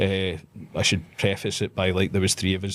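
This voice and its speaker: A speaker with a Scottish accent talks at a moderate pace. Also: man. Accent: Scottish, trained to speak clearly. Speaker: pro wrestler. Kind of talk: casual chat.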